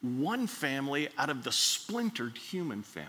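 With an American accent, a man speaks in a bright, sharp tone, his pitch swinging very widely. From Miami, Florida. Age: 70s. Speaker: retired pastor, guest preacher. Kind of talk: sermon. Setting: church service.

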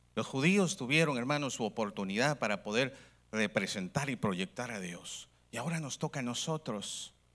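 On a very clean recording with a silent background, a man at medium pitch talks at a moderate pace with lively intonation. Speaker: preacher. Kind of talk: sermon to a live congregation, call-and-response preaching. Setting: church with audience. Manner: animated, fervent, repeatedly addressing the audience as 'hermano'; exhorting, rising-tone pulpit delivery with rhetorical questions.

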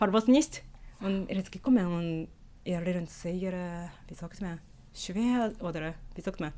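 Speaking in a Japanese accent at a very slow pace, a woman with a dark, mellow tone and ordinary pitch variation leaves long, frequent pauses. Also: medium pitch for a woman. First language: Japanese (speaking German). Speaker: sociolinguist and Yiddish teacher. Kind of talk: interview. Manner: halting.

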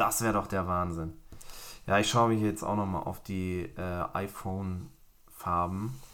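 At a fairly slow pace, a man talks with a very deep, low pitch. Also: ordinary pitch variation. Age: 30s. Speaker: tech podcast host. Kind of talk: casual chat.

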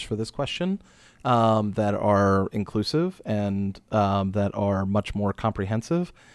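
Spoken at a fairly slow pace, this is an unremarkable speaking voice with an American accent. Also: man. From Maryland, Frederick County. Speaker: LGBTQ center board president. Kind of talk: interview.

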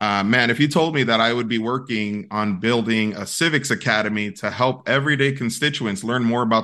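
A man with an American accent talks at a very fast pace in a bright, sharp tone, his medium pitch showing ordinary variation against a quiet background. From South Bronx, New York. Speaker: diversity and inclusion consultant. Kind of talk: casual interview.

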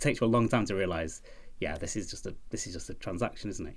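A man talks at a very fast pace with a British accent. His pitch variation is ordinary. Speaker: podcast guest, executive creative director. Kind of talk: casual, conversational. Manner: fast talker; hyperactive, energetic.

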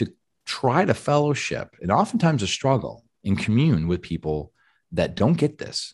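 A man talks at a fairly slow pace with very wide pitch swings against a quiet background. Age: 40s. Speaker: essential oils author and health educator. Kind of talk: casual chat.

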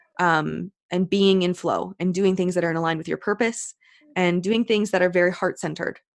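Fairly quick speech from a woman with a fairly low pitch, a plain, everyday voice and fairly even intonation, in a dry, close sound with no echo. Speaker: business owner and coach. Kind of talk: casual interview chat.

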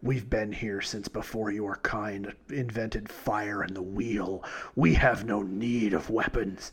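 A man's put-on character voice, fairly low in pitch and fairly slow, against a quiet background. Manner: ancient, dismissive.

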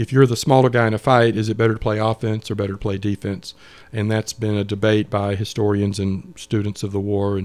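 A man with a Georgia accent speaks at a fairly quick pace in a fairly low pitch, his intonation monotone and flat. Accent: Southern American (Georgia). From US South, Atlanta area, Georgia. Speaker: lawyer and Civil War historian. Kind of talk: casual interview. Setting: studio.

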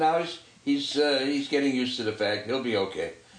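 Audible room echo surrounds a man's voice. He speaks at a moderate pace in a medium pitch. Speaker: family sports podcast co-host. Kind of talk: casual chat.

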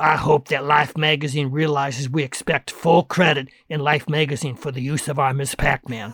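A man's put-on character voice, raspy and croaky, fairly high in pitch, monotone with flat intonation, at a moderate pace with hardly any pauses, dry and close with no echo.

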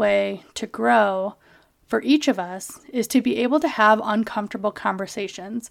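A woman talks at a medium pitch, captured in a very clean recording with a silent background. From US Midwest (Kalamazoo, Michigan). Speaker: podcast host. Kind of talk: personal monologue. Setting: home office. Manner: casual with many fillers.

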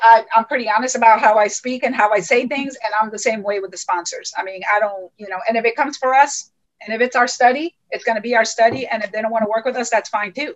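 Her normal speaking voice is fairly high for a woman, with fairly even intonation. Her loudness swings widely. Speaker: clinic owner. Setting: video call.

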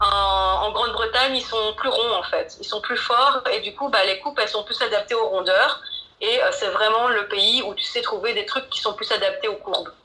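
This woman keeps a moderate speed while noticeable background noise is heard. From Belgium, Mons area. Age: 30s. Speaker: blogger and digital marketer. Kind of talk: interview. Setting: remote call. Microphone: poor sound quality.

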